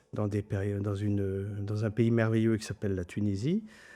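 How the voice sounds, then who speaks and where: With a German accent, a man speaks at a fairly low pitch in a dark, mellow tone. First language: German (speaking French). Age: 60s. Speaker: trade journalist, editor-in-chief. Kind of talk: interview. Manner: hesitant, many fillers and repetitions.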